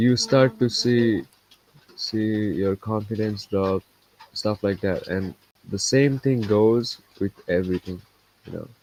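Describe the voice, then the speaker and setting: A man with a non-native accent, fairly low pitch, fairly even intonation and a very slow pace, with long, frequent pauses and a dry, close sound with no echo. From India. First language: not English. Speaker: trading streamer. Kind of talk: live stream casual talk. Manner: halting, repetitive.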